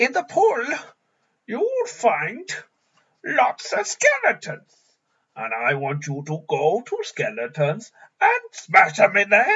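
A put-on character voice with a fairly high pitch, a fairly slow pace and long, frequent pauses

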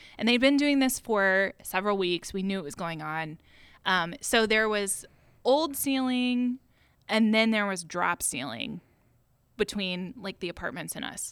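Female voice at a medium pitch with a US Midwestern accent. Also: lively intonation, fairly slow pace. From Ohio, US Midwest (Westerville). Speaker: former photo store employee. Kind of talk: casual chat.

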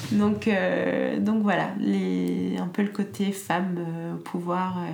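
A woman talks at a very slow pace, with audible room echo and noticeable background noise. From France. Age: 20s. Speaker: entrepreneur. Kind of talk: interview. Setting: at home. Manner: hesitant.

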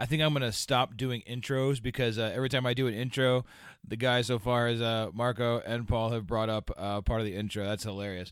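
In a plain, everyday voice, a man of medium pitch talks at a fairly quick pace with fairly even intonation. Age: 40s. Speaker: podcast host. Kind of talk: casual chat. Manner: casual, rambling.

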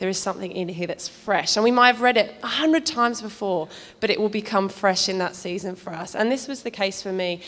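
Against noticeable background noise, a woman of medium pitch speaks very fast with ordinary pitch variation. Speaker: church member giving testimony. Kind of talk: testimony.

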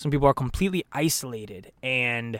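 A man talks at a moderate pace. His voice sits at medium pitch with ordinary variation. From US Pacific Northwest, Portland area, Oregon. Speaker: actor. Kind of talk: casual chat. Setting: video call.

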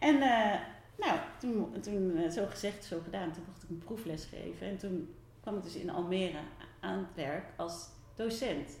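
In a room with audible echo, a woman talks fairly slowly at a fairly low pitch, her loudness swinging a lot while her pitch varies in an ordinary way. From Netherlands, near Rotterdam. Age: 40s. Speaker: theatre maker. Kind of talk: interview. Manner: halting.

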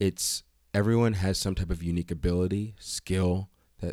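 Behind the voice there is only silence on a very clean recording. An American accent comes with pitch that moves in a typical way. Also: man, dry, close sound with no echo. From Reading, Pennsylvania. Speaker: actor, model and youth soccer coach. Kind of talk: casual chat. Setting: studio.

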